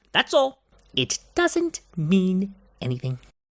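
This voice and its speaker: This is a cartoonish character voice. Its tone is smug. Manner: smug, condescending.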